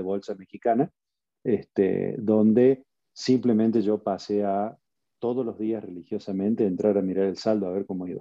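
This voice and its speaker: A man speaks at a moderate pace. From Argentina. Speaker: passive investor, tech entrepreneur. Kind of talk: interview.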